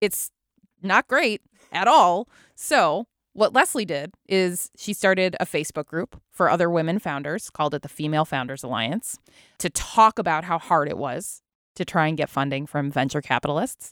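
In a very clean recording with a silent background and a dry, close sound with no echo, a woman uses a normal speaking voice, fairly low in pitch, with lively intonation at a moderate pace. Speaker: podcast host. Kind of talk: casual chat. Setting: studio.

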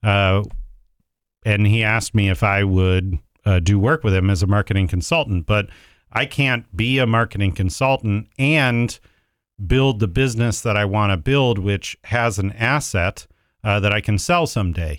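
The delivery has ordinary pitch variation and very even loudness on a very clean recording with a silent background. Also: man, fairly low pitch for a man, moderate pace. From Ohio, US Midwest. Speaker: restaurant franchise businessman. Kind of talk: interview conversation. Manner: halting, many fillers.

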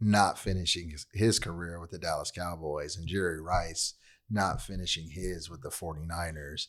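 In an American accent, the speaker talks in a calm tone at a fairly slow pace, with big swings in loudness, on a very clean recording with a silent background. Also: man, very deep, low pitch for a man, fairly even intonation. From Southern California, Long Beach. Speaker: human resources professional. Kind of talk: casual interview. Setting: studio. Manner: calm, laid-back.

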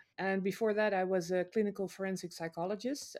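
A woman's medium-pitched voice at a moderate pace, with ordinary pitch variation, in a very clean recording with a silent background. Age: 50s. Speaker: storyteller. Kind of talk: interview. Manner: halting.

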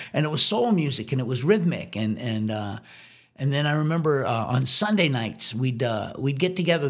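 A man speaks at a moderate pace with a medium pitch and lively intonation, over noticeable background noise. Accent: American. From Washington, D.C. area. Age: 60s. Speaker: drummer. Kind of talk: casual chat.

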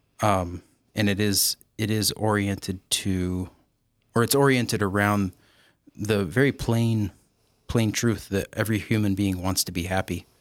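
On a very clean recording with a silent background, a man with a fairly low pitch talks at a fairly slow pace with long, frequent pauses, fairly even intonation and very even loudness. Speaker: theology professor. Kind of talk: casual interview chat. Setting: studio.

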